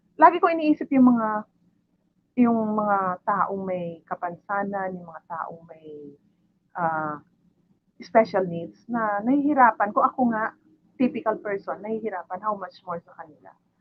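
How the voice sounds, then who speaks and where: A woman with a plain, everyday voice speaks at a medium pitch and a fairly slow pace, with lively intonation and big swings in loudness. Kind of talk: testimony. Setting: livestream.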